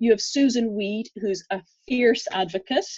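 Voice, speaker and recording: Speaking with an Irish accent at a moderate pace, a woman has a fairly high pitch and a dark, mellow tone. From Ireland. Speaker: physiotherapist and herbalist. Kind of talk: interview conversation.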